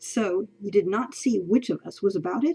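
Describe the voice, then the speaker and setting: Putting on a character voice, a woman speaks at a medium pitch and a moderate pace. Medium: read story. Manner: formal, measured, guarded.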